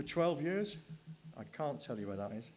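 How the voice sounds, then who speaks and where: A man is speaking. He has a Welsh accent. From Wales. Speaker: session chair. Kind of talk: speaker introduction.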